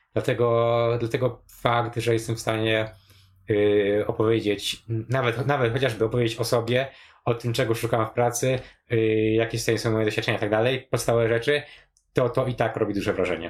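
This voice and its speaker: Somewhat breathy speech at a fairly quick pace, monotone and flat in intonation, very even in loudness, on a very clean recording with a silent background. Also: man, medium pitch for a man. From rural Poland. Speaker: programmer and home cook. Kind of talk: casual chat. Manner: halting, many fillers.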